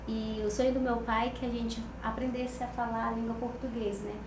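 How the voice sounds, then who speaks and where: A woman's fairly high, monotone voice with flat intonation, at a moderate pace, amid noticeable background noise and audible room echo. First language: Ticuna (speaking Portuguese). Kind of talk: interview conversation. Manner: halting, with frequent fillers.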